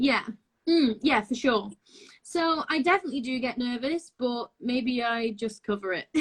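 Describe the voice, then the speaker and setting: Speaking with a Lancashire accent, a woman uses a high pitch and lively intonation at a moderate pace. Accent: northern English (Lancashire). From northwest England, Blackpool. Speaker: actress and singer. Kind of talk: interview. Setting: video call.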